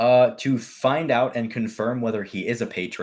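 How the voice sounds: Fairly even intonation carried by a natural reading voice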